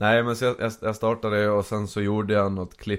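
In a fairly low voice, a man talks with monotone, flat intonation. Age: 20s. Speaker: TikTok creator. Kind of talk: casual chat. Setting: studio.

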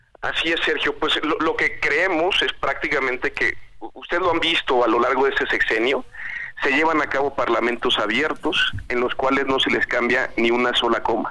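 The man speaks at a moderate pace with very even loudness. Background noise is noticeable throughout. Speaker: legislator. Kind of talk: interview.

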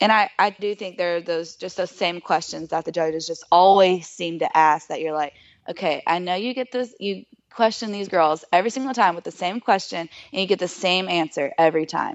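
Speaking fairly quickly, a woman uses a medium pitch. Her pitch moves with ordinary variation. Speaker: pageant contestant. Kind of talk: interview. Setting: phone call. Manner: fast when excited.

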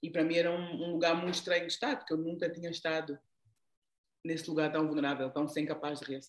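Flat and monotone, a woman's fairly low voice moves at a very fast pace. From Angola, raised largely in the Netherlands. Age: 40s. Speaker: leadership coach. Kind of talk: interview. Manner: halting.

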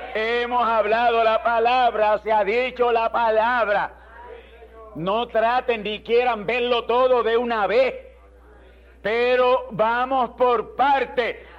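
A man with an extremely high pitch speaks at a very slow pace with fairly even intonation. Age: 70s. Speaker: pastor. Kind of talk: sermon.

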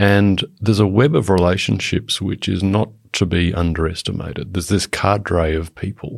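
With an Australian accent, a man talks using ordinary pitch variation. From Papua New Guinea (Australian expatriate upbringing). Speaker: former diplomat. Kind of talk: expert panel discussion. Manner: hesitant, many fillers and restarts.

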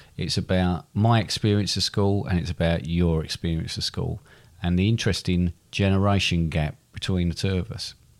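A man with an English accent speaks at a moderate pace in a very deep, low voice. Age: 50s. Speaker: podcast co-host, father. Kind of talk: quiz; casual chat.

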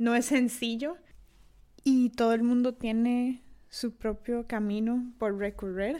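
In a Costa Rican accent, a woman with a high pitch speaks at a very slow pace and with fairly even intonation, on a very clean recording against a silent background. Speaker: podcast host. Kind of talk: solo podcast monologue. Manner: halting, many fillers.

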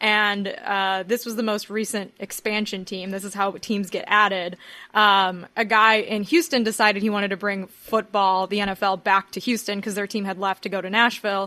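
A woman with an American accent and a bright, sharp tone, fairly even intonation, hardly any pauses, and a quiet background. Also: medium pitch for a woman, moderate pace. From Miami, US. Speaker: journalist and podcast presenter. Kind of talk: casual chat.

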